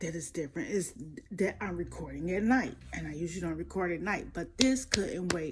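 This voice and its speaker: In a whisper, a woman is talking. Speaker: celebrity gossip commentator. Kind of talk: casual gossip commentary. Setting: home recording at night. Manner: whispering.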